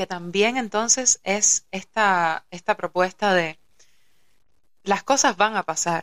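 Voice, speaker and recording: At a very slow pace, a woman speaks at medium pitch with ordinary pitch variation in a dry, close sound with no echo. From Cuba, Havana. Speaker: yoga teacher and musician. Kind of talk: casual chat.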